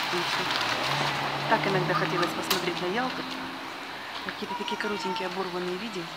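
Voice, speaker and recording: A woman talks at a moderate pace with long, frequent pauses. Loud background noise is present. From Yalta, Crimea. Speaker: video blogger. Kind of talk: casual walking monologue. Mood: nostalgic, relaxed. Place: street. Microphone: phone near.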